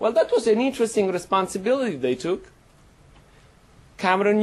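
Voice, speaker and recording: In an Italian accent, the speaker keeps a moderate pace broken by long, frequent pauses. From Italy. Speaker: professor. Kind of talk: panel talk.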